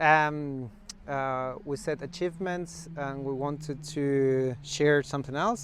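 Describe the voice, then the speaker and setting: With a non-native accent, the words come out at a fairly slow speed. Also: man. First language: non-native English speaker. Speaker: interviewer. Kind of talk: interview.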